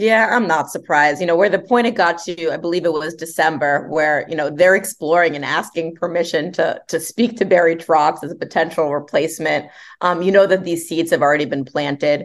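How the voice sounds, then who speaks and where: A woman with an American accent speaks at a fairly quick pace with hardly any pauses, fairly low in pitch and with ordinary pitch variation. It is a plain, everyday voice against a quiet background. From New Jersey. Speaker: sports reporter. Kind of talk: podcast interview.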